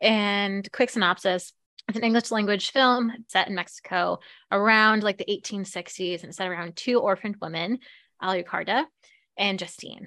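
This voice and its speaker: Recorded very clean with a silent background, a woman at medium pitch has a bright, sharp tone and a dry, close sound with no echo. She keeps a moderate pace and fairly even intonation, with big swings in loudness. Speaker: podcast co-host. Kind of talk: casual chat.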